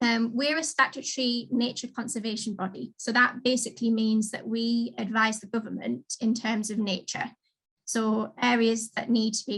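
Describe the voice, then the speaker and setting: Speaking with a slight Geordie accent, a woman uses a fairly high pitch and monotone, flat intonation. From northern England, Newcastle. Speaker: marine conservation adviser. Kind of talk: careers talk.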